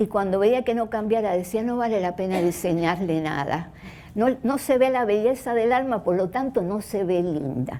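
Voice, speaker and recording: A woman's fairly high voice, dark and mellow in tone, with lively intonation at a moderate pace. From Cuba. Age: 70s. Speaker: doctor and speaker. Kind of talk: talk to an audience.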